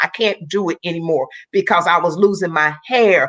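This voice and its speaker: A woman speaks in a plain, everyday voice. Her pitch sits fairly low, with ordinary pitch variation. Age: 60s. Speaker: Olympic athlete and motivational speaker. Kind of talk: testimony.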